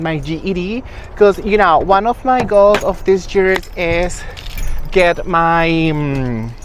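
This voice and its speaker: Medium pitch from a woman, with noticeable background noise. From Venezuela. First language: Spanish. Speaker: lifestyle vlogger. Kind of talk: casual vlog.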